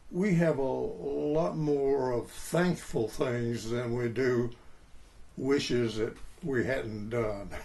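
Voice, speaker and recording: Over noticeable background noise, a man speaks at a very slow pace with very even loudness. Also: medium pitch for a man, lively intonation. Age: 80s+. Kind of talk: interview answer. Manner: slow, reflective.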